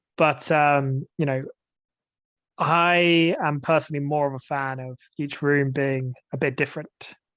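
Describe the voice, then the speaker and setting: A man with a British accent speaks at a fairly high pitch. His intonation is monotone and flat. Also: fairly slow pace. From England. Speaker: English teacher. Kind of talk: casual discussion.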